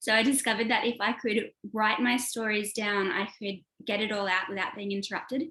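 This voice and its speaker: Her voice has a bright, sharp tone and a fairly high pitch. The woman speaks with an Australian accent and ordinary pitch variation. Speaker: author and screenwriter. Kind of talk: interview. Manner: casual, many fillers.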